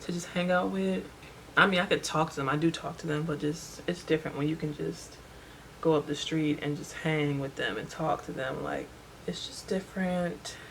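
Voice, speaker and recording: A woman speaks at a moderate pace in a very deep, low pitch. Noticeable background noise runs under her voice. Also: ordinary pitch variation. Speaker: beauty vlogger. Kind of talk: casual chat. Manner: talkative.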